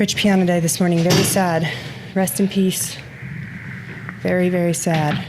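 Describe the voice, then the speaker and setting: A woman at a fairly low pitch speaks in a monotone, flat intonation at a moderate pace with long, frequent pauses, amid audible room echo and noticeable background noise. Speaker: gym owner and podcast co-host. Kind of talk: casual podcast chat.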